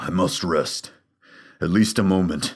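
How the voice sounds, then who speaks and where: In a put-on character voice, a man speaks at a fairly slow pace with a raspy, very deep, low pitch. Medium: read story. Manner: gruff, wry.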